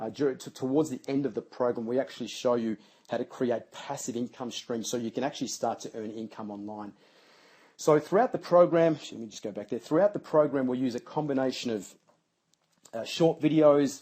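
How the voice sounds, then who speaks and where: A man's dark, mellow tone at a fairly quick pace. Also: medium pitch for a man, ordinary pitch variation. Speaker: business coach for personal trainers. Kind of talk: webinar sales pitch. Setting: live webinar. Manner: fast.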